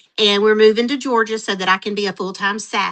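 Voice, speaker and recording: Fairly high female speech, with the usual amount of pitch movement. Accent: Southern US. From US South, Mississippi. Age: 50s. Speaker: retired teacher, entrepreneur. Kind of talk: interview.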